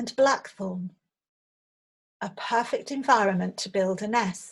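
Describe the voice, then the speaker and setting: Somewhat breathy and calm with a soothing tone, a woman speaks at a fairly slow pace with ordinary pitch variation. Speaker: meditation teacher. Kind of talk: guided visualisation. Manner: slow, calm, soothing.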